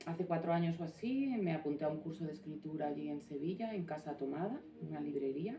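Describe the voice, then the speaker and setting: Over noticeable background noise, a woman speaks at a fairly quick pace in a very deep, low pitch. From Navarra and Galicia, Spain. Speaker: author and former prison officer. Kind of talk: book presentation talk. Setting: small live audience. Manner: informal, with hesitations.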